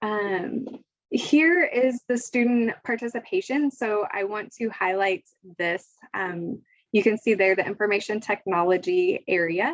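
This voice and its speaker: At a fairly slow pace, a woman with a plain, everyday voice talks in a fairly high pitch with lively intonation. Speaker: education official. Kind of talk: presentation.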